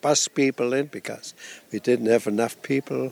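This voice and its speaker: A man speaks with a German accent. His intonation is fairly even. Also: dry, close sound with no echo. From Germany. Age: 80s. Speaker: retired nudist resort owner. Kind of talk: interview.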